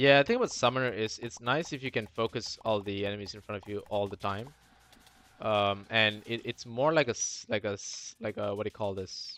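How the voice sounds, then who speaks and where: A man with a non-native accent talks at a fairly quick pace in a fairly low pitch, with fairly even intonation and big swings in loudness. The sound is dry and close with no echo, and music plays in the background. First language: not English. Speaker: gaming streamer. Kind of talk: live gameplay commentary. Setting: live stream. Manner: halting, repeats words.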